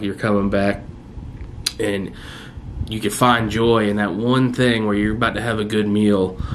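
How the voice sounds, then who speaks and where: Audible room echo and noticeable background noise accompany this recording. A man with a fairly low pitch speaks at a moderate pace. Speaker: vlogger. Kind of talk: personal video diary. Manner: hesitant, many fillers; loud.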